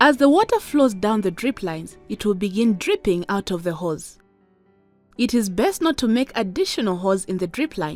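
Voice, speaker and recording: A woman's medium-pitched voice with a Zambian accent, lively intonation and a moderate pace, over music in the background. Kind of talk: educational animation narration.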